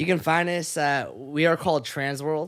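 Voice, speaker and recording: A man speaks with an American accent in an ordinary speaking voice. His intonation is fairly even and his pace fairly slow. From Sacramento, California (raised partly in Japan until fourth grade). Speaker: podcast host. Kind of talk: casual chat.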